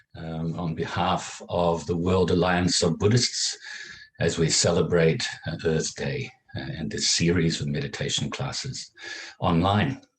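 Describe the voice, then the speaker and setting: A man's very deep, low voice, fairly slow with lively intonation. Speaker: meditation teacher. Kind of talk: introduction to a guided meditation class.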